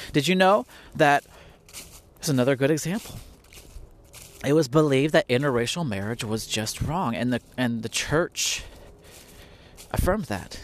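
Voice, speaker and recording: Pitched fairly high, a man speaks at a moderate pace with lively intonation and long, frequent pauses. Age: 40s. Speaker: podcast host, spiritual director and carpenter. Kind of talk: solo podcast monologue on spirituality. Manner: casual, conversational.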